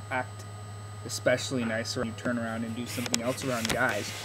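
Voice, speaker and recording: Here a man speaks at a medium pitch. Audible room echo and noticeable background noise are present. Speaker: video blogger. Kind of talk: casual vlog monologue. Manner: halting, stuttering a bit.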